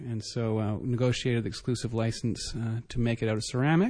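Against a quiet background, a man with a Canadian accent and medium pitch speaks at a fairly quick pace. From Canada. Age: 30s. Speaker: entrepreneur. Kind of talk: interview. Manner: halting, many fillers.

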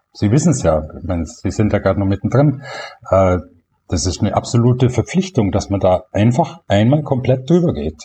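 At a moderate pace, a man with a medium pitch speaks in a dark, mellow, somewhat breathy tone, his pitch swinging very widely. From Allgäu, Bavaria, southern Germany. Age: 60s. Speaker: veterinarian and blogger. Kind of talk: interview.

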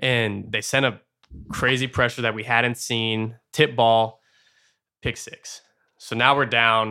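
A man's very slow, flat, monotone speech at a medium pitch, bright and sharp in tone, with an American accent and long, frequent pauses. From Arizona. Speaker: college football quarterback. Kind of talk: casual chat.

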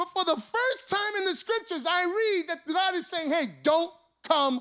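A man's raised, projected voice at an extremely high pitch, with lively intonation. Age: 40s. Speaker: pastor. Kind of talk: sermon. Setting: church.

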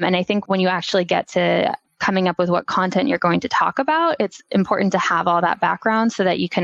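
Speaking at a fairly quick pace, a woman with a fairly low pitch shows ordinary pitch variation in a dry, close sound with no echo. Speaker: digital marketing specialist. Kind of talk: casual interview. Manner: soft-spoken.

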